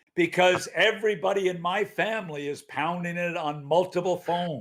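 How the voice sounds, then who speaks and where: Loud and high-pitched, a man speaks at a moderate pace with fairly even intonation. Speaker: hockey commentator. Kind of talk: casual sports talk show.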